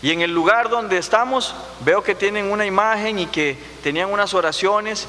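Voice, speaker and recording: A man's raised, projected voice, high in pitch, with a Costa Rican accent and ordinary pitch variation, amid noticeable background noise. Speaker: pastor. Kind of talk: sermon. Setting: church.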